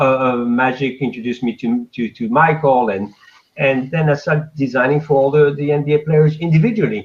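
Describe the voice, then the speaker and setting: A man speaks at medium pitch with a French accent. His pace is moderate and his pitch varies in an ordinary way. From France. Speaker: fashion designer. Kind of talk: interview.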